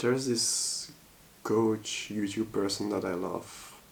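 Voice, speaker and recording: Speech with a Dutch accent comes at a very slow pace with fairly even intonation. Audible room echo is present. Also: man. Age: 30s. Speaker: vlogger. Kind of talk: personal vlog monologue. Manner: halting, hesitant with many fillers.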